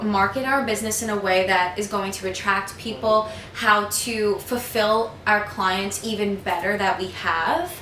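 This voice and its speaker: Over noticeable background noise and audible room echo, a woman with an American accent talks at a fairly slow pace and a fairly high pitch, her intonation fairly even. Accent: Staten Island accent, comes out when upset. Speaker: vlogger and personal trainer. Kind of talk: casual vlog monologue.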